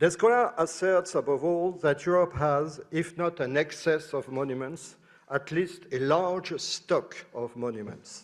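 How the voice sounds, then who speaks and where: Recorded very cleanly over a silent background, a man with a French accent speaks at a fairly slow pace. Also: fairly high pitch for a man, ordinary pitch variation. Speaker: professor. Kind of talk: conference talk. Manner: halting.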